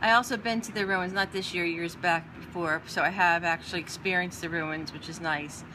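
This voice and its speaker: An ordinary speaking voice at a moderate pace. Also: woman. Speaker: art teacher. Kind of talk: tutorial.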